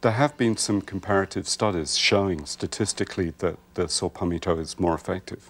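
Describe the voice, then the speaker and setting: A man with a very deep, low pitch speaks at a fairly quick pace with ordinary pitch variation, captured on a very clean recording against a silent background. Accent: American. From Wales. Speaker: herbalist. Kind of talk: TV talk show interview. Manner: hesitant, many ums.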